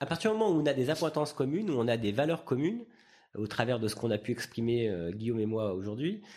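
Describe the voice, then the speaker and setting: Speaking very fast in a medium pitch, a man with a dark, mellow tone uses lively intonation on a very clean recording with a silent background. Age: 40s. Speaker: entrepreneur. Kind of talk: interview. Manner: hesitant, many fillers.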